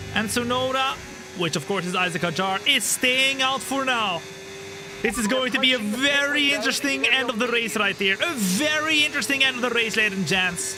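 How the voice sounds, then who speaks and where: A man talks in a raised, projected voice at an extremely high pitch and a fairly quick pace. Noticeable background noise runs behind him. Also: lively intonation. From Netherlands. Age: 20s. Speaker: gaming streamer. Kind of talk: live gameplay commentary. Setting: studio. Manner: animated.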